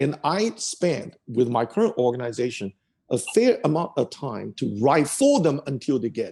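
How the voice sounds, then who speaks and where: A man with a Chinese accent, fairly high-pitched yet dark and mellow in tone, swinging very widely in pitch at a moderate pace. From China. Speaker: tech executive. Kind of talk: interview.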